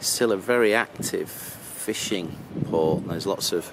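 A man at a very slow pace, dry sound with no echo, and noticeable background noise. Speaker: motorhome traveller vlogger. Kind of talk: casual vlog chat. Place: street. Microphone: phone near.

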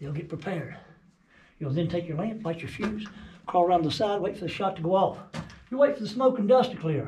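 Over light background noise and audible room echo, a man speaks with lively intonation. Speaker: mine tour guide. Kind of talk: guided tour explanation. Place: tunnel cave. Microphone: phone near.

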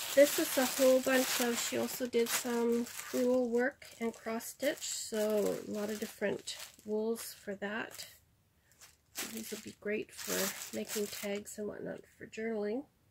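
A woman talks with fairly even intonation. Noticeable background noise can be heard. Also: fairly slow pace. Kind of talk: casual haul vlog chat. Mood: pleased, warm. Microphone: phone near.

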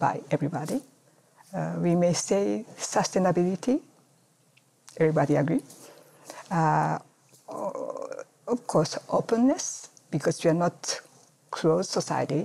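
A woman's fairly low pitch with vocal fry and very wide pitch swings, at a fairly slow pace with long, frequent pauses. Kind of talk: interview answer. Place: office.

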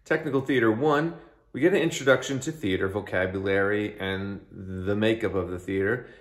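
A man's voice in audible room echo against a quiet background. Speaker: theater teacher. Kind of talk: course overview talk.

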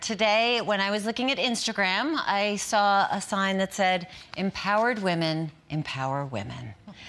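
This woman has a plain, everyday voice at a medium pitch. She speaks at a moderate pace with lively intonation. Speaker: moderator. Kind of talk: panel discussion. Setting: studio with audience.

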